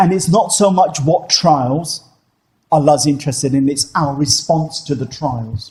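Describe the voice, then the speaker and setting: Somewhat breathy, a man speaks at a fairly slow pace with a fairly high pitch. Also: ordinary pitch variation. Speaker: Islamic teacher. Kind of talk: religious Q&A lecture. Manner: conversational, with many fillers.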